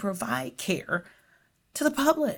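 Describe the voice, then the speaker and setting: Her voice swings very widely in pitch and shows vocal fry, as a woman speaks on a very clean recording with a silent background. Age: 50s. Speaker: nurse scientist. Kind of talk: interview.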